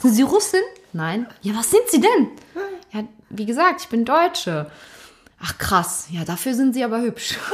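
A woman's high voice at a fairly slow pace, with very wide pitch swings and long, frequent pauses over noticeable background noise. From Germany, Cologne area. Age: 20s. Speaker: teacher. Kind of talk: interview.

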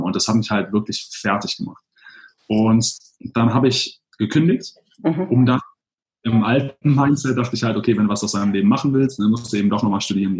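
At a fairly quick pace, a man speaks at medium pitch in a somewhat breathy voice with ordinary pitch variation. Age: 30s. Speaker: blogger and digital nomad. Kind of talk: interview.

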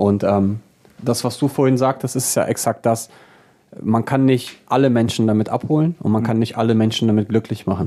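A man speaks at a moderate pace in a medium pitch. His tone is dark and mellow, with ordinary pitch variation. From Braunschweig, Lower Saxony, Germany. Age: 30s. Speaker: DJ and music producer. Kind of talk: casual interview chat.

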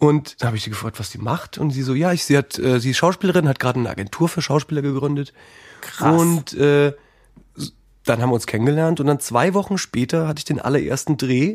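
The recording is very clean, with a silent background. The speech comes at a very fast pace. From Palatinate, Germany. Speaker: actor and musician. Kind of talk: interview.

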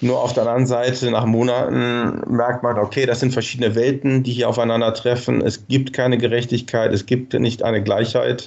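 A man's medium-pitched voice at a moderate pace, a normal speaking voice. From Germany, Cologne. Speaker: nonprofit marketing director. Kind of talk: interview.

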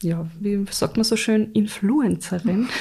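A very slow pace with fairly even intonation. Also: woman. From Austria, Carinthia then Upper Austria. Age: 30s. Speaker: podcast co-host, mother and blogger. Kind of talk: casual chat.

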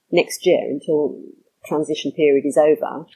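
A woman with a southern English accent has a dark, mellow tone. She speaks at a moderate pace. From London suburbs. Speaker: trademark attorney. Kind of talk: interview.

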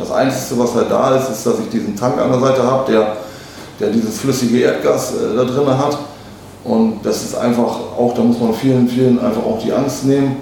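Amid audible room echo and noticeable background noise, a man speaks at a moderate pace and medium pitch with monotone, flat intonation. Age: 30s. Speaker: truck sales manager. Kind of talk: interview.

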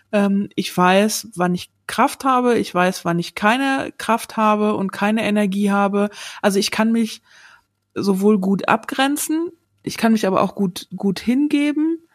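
A woman speaks at a fairly high pitch, her pitch varying in an ordinary way. She talks at a fairly slow pace, and the sound is dry and close with no echo. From Sauerland, western Germany. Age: 40s. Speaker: podcast guest. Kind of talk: casual interview. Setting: remote recording. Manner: hesitant, many fillers.

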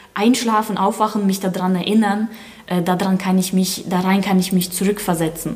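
At a medium pitch and a moderate pace, a woman speaks while noticeable background noise carries on. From Germany, born in Ukraine. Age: 20s. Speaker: ballroom dancer and dance coach. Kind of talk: interview.

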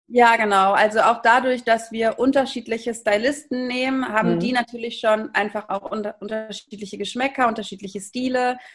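A woman speaks in a fairly high voice with flat, monotone intonation. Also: moderate pace, hardly any pauses. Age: 30s. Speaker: startup founder and managing director. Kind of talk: interview. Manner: hesitant, many filler sounds.

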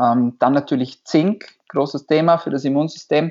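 Here is a man with a normal speaking voice and a fairly high pitch. His intonation is fairly even. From Austria, Vorarlberg. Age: 20s. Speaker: doctor. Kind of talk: interview.

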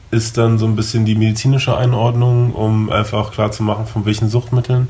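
A man speaks at a medium pitch against noticeable background noise. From Germany, Berlin. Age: 20s. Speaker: recovering addict. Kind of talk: interview.

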